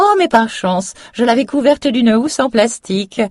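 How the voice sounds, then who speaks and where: Someone puts on a character voice with a fairly high pitch, speaking at a moderate pace. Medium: read story.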